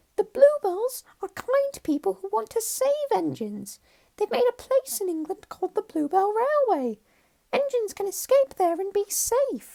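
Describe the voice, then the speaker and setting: A put-on character voice, squeaky and extremely high-pitched, delivered at a moderate pace. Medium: read story. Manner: earnest, eager.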